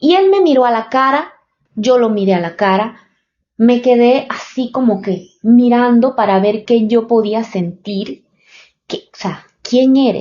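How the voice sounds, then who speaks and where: A woman speaks in a Panamanian accent at a fairly high pitch. Her pace is very slow. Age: 30s. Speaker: podcaster. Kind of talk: personal storytelling podcast. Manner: halting, many fillers.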